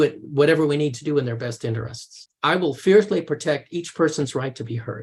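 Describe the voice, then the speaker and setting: A man with an American accent, a fairly high pitch, ordinary pitch variation and a somewhat breathy sound. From US, grew up touring with circuses. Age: 60s. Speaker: mediator and coach. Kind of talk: interview, casual conversation. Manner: conversational, with frequent hesitations and repetitions.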